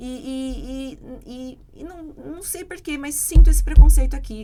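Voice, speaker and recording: This woman talks at a fairly slow pace in a high pitch. There is noticeable background noise. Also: ordinary pitch variation, big swings in loudness. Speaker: English teacher. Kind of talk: casual chat.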